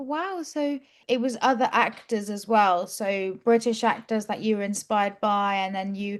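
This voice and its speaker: A fairly high-pitched woman with a normal speaking voice, ordinary pitch variation and a moderate pace, against a quiet background. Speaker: English teacher. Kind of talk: interview.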